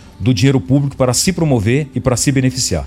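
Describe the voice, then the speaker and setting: Music plays in the background as a man speaks. His medium-pitched voice goes at a very fast pace. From Paraná, Brazil. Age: 40s. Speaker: politician. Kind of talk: radio interview. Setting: radio studio.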